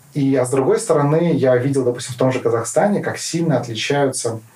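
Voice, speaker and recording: Noticeable background noise sits behind the voice. The delivery keeps a moderate pace, and the pitch varies in an ordinary way. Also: man. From Kazakhstan (Karaganda). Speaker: politician. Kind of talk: interview. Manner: hesitant, many fillers.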